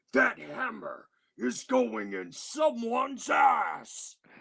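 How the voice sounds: A put-on character voice is raised and projected. It moves at a very slow pace. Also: man.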